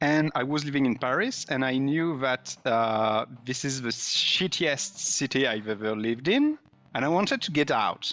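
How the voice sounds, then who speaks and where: A man's medium-pitched voice in a French accent, at a moderate pace with ordinary pitch variation. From France. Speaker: indie game developer, pixel artist. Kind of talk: casual interview chat.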